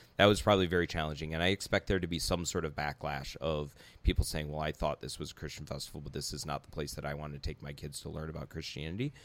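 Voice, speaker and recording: A man talks very fast with hardly any pauses. His very deep, low voice keeps fairly even intonation. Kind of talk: casual conversation.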